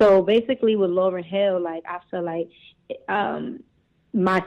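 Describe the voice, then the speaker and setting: Fairly even intonation marks a woman's medium-pitched speech. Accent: New York. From Brooklyn, New York. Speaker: singer and cosmetics entrepreneur. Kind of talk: casual interview. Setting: phone call.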